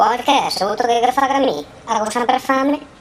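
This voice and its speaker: Over clear background noise, a woman uses a put-on character voice at a high pitch and moderate pace with lively intonation. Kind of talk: comic dialect parody dub. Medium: fan dub.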